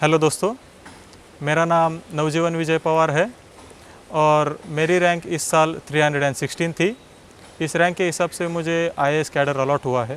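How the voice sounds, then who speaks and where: His pitch sits fairly high for a man. He has a normal speaking voice with fairly even intonation. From Maharashtra, India (Nashik district village). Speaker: civil service exam topper. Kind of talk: personal success story talk.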